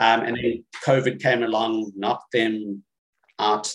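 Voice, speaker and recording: A man's voice, fairly low in pitch. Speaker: western novelist. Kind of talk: casual interview. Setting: video call.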